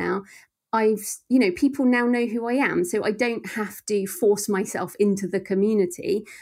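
A woman with an English accent speaks at medium pitch and a moderate pace, with ordinary pitch variation. The recording is very clean, with a silent background. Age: 40s. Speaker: thriller author. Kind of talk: interview.

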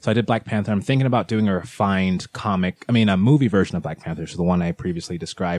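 A man speaks very fast in a Californian accent. His pitch is very deep and low, with ordinary variation. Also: dry, close sound with no echo, quiet background. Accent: sounds Californian. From England, London, with childhood in Nigeria and California. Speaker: cosplayer. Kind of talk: casual chat.

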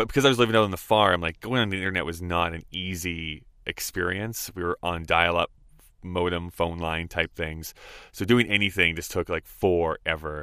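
Speaking with an Albertan accent, a man with a very deep, low pitch keeps a moderate pace and fairly even intonation. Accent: Canadian (Albertan). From Alberta, Canada (Rocky Mountain House). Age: 30s. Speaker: podcast studio owner. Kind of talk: casual chat.

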